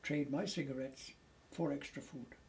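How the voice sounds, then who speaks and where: This voice has a dark, mellow tone, sounds somewhat breathy, and keeps a moderate pace. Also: man. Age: 80s+. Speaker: war veteran. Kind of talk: interview answer.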